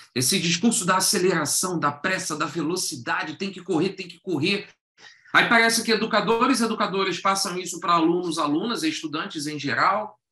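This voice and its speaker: A man's raised, projected voice in a Carioca accent, high in pitch, fairly quick, with ordinary pitch variation and big swings in loudness. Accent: carioca Rio de Janeiro. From Rio de Janeiro, Brazil. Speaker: educator and workshop facilitator. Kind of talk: online workshop talk. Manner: conversational, engaging audience with questions.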